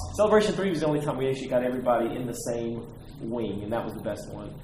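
A man's voice over noticeable background noise. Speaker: collector. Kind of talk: casual interview.

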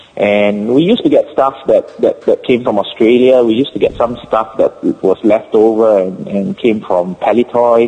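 A man with a Singaporean accent at a moderate pace, with hardly any pauses. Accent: Singapore English. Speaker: collector. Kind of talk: casual chat. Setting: phone call. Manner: halting.

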